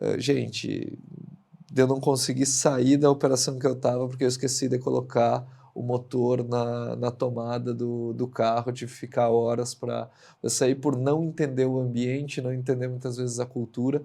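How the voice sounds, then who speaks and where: Over a very clean recording with a silent background, a man speaks at medium pitch in a monotone, flat delivery with a dark, mellow tone. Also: moderate pace. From Rio Grande do Sul, southern Brazil. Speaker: industrial director, engineer. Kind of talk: interview podcast conversation. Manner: hesitant, many fillers.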